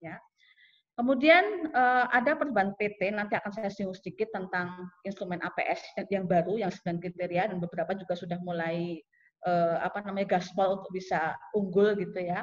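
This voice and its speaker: Speaking fairly quickly in a normal speaking voice, a woman keeps a medium pitch with ordinary pitch variation. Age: middle-aged. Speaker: sociology department head; webinar presenter, lecturer. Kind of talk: lecture. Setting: video call. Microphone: video call.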